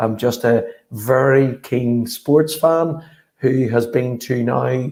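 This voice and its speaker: A man's medium-pitched voice, dark and mellow in tone, with a Northern Irish accent. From Northern Ireland, Belfast. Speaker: sports strategy consultant. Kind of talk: conference presentation. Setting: virtual summit.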